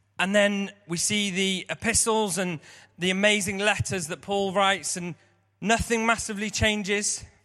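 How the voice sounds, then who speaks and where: A man's high, bright, sharp voice, raised and projected, in an English accent, monotone and flat, at a moderate pace. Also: very clean recording, silent background. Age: 30s. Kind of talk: sermon.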